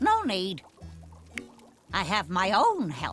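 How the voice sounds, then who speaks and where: A cartoonish character voice is heard over faint music in the background. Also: woman. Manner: blunt, brusque, folksy.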